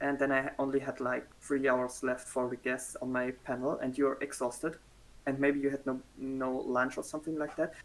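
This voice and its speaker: In a German accent, a man at medium pitch speaks with monotone, flat intonation. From Germany. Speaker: cosplayer. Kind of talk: interview. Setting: livestream.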